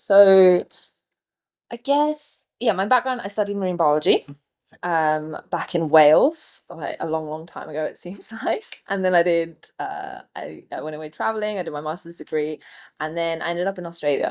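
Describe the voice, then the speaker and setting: A woman with an English accent and a fairly low pitch talks at a moderate pace. Her intonation is lively, and her loudness swings widely. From England. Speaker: marine biologist. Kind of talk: casual chat. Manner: animated.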